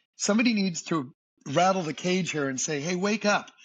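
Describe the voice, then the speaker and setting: A man with an American accent speaks at a moderate pace, his pitch swinging very widely. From US Northeast, Boston. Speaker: singer and entertainer. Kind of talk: podcast interview. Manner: animated.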